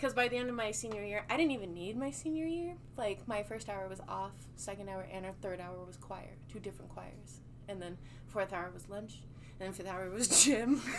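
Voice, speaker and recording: A woman speaks with an American accent at a fairly quick pace, her medium pitch swinging very widely and her loudness shifting a lot. Audible room echo surrounds her voice. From Colorado, US. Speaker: R&B singer. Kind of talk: casual interview chat.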